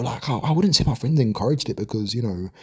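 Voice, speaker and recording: Very fast and somewhat breathy, a man with a London accent speaks in a dark, mellow tone on a very clean recording with a silent background. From London, England. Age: 20s. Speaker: gaming commentary vlogger. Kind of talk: casual monologue. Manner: hesitant, many fillers and repeats.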